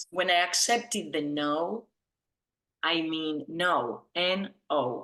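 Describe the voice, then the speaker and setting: Speaking very slowly with lively intonation, a woman with an Argentine accent has a fairly low pitch and a bright, sharp tone. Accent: Argentine Spanish accent, evident. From Argentina. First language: Spanish. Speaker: business founder, branding consultant. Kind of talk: interview on video call. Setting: video call.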